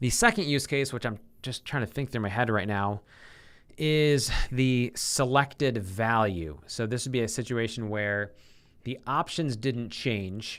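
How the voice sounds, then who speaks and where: A man speaks at a fairly slow pace with a medium pitch and ordinary pitch variation. His is an unremarkable speaking voice, recorded very cleanly against a silent background. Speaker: software developer live-streaming coding. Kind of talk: live coding stream, thinking aloud.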